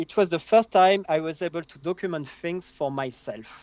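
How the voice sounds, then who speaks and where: A man's fairly high voice with a French accent at a fairly slow pace. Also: dry, close sound with no echo. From southern France. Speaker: database consultant. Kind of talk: interview.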